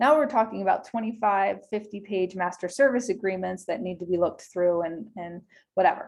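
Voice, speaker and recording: A woman with a normal speaking voice talks at a fairly quick pace in a medium pitch with ordinary pitch variation, against a quiet background. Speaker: small business attorney. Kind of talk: webinar presentation. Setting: video call.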